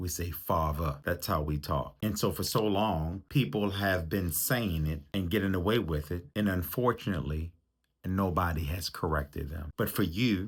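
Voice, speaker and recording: In a very clean recording with a silent background, a man with a very deep, low pitch and ordinary pitch variation speaks at a moderate pace in a somewhat breathy voice. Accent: American. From US, Baltimore, Maryland. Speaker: relationship coach. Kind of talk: motivational talk.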